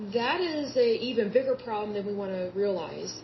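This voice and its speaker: With an American accent, a woman of medium pitch speaks over noticeable background noise. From Oklahoma (Yukon). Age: 30s. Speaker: podcast host. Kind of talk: solo podcast monologue. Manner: conversational, repetitive.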